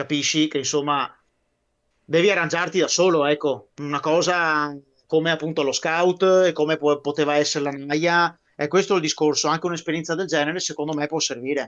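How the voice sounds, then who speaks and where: With a Venetian accent, a man talks fairly quickly at a fairly high pitch. His intonation is monotone and flat, and the background is quiet. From Veneto, Italy. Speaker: guest on a military history live stream; guest. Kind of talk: casual chat. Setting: live stream. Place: home room. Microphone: video call.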